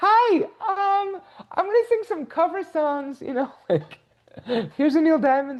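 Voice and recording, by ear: A shrill put-on character voice at an extremely high pitch and a fairly slow pace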